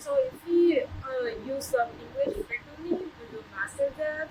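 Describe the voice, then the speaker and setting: Over noticeable background noise, a woman uses a raised, projected voice with very wide pitch swings at a fairly slow pace. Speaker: international student. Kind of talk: interview testimony.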